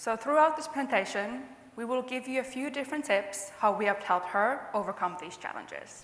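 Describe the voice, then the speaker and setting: A woman with a Finnish accent at a fairly high pitch and fairly quick pace, lively intonation and big swings in loudness, with audible room echo and noticeable background noise. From Finland. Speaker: customer success manager. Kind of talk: conference presentation.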